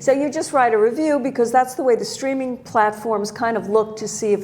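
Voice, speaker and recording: With lively intonation, a woman speaks in an ordinary speaking voice at a moderate pace. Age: 60s. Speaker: documentary filmmaker and hairstylist. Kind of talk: interview.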